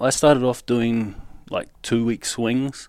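The man speaks with a New Zealand accent at a medium pitch. The recording is very clean, with a silent background. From New Zealand, South Auckland. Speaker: scaffolder and rigger. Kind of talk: personal testimony interview.

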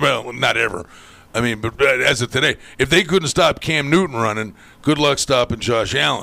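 A man speaks with a bright, sharp tone. His voice carries vocal fry. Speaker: sports radio host. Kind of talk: casual chat. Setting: studio.

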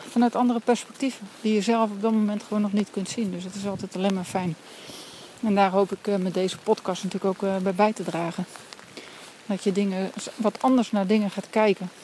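Noticeable background noise sits behind the speaker, a woman. She talks at a fairly quick pace. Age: adult with a family. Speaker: coach with clients, podcaster. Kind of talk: walking monologue podcast. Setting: outdoors, walking in rainy forest.

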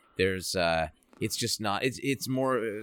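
In a plain, everyday voice with an American accent, a man speaks at a fairly quick pace with lively intonation and a fairly low pitch, on a very clean recording with a silent background. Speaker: guest host, voice actor. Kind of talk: casual chat.

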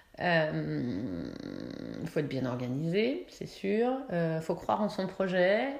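A woman talks at a very slow pace, with audible room echo. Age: 40s. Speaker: entrepreneur, city guide creator. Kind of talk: interview. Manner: chatty; hesitant, many fillers.

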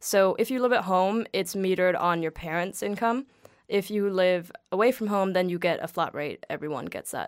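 A woman with a Danish accent speaks at a moderate pace and a medium pitch. Her pitch variation is ordinary, and the recording is very clean with a silent background. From Denmark, greater Copenhagen suburbs. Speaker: guest. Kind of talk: casual chat.

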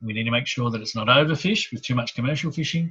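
The voice has an Australian accent and a bright, sharp tone. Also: man. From Sydney, Australia (Hornsby area). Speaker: local councillor. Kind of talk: interview.

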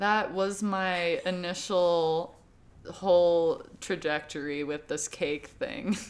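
Very slowly and with fairly even intonation, a woman with an American accent speaks in a fairly low pitch. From United States. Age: 30s. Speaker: wedding photographer. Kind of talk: casual chat.

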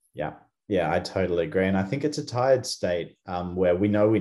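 A man with an Australian accent, fairly low-pitched, dark and mellow in tone, with lively intonation at a fairly quick pace. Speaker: company co-founder and podcast host. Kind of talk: casual chat.

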